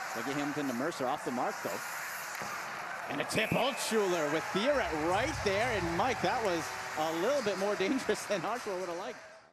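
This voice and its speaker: With an excited tone, a man speaks at a high pitch in very wide pitch swings, hardly pausing, over noticeable background noise. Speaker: hockey play-by-play announcer. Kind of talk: sports broadcast play-by-play, demo reel. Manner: fast, excited.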